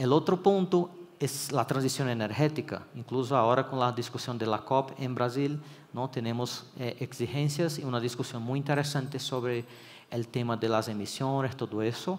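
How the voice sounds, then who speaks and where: This man has a Brazilian accent and a medium pitch. He talks at a moderate pace with ordinary pitch variation. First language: Portuguese (speaking Spanish). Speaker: electrical engineering consultant. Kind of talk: conference talk. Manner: hesitant, with fillers and restarts.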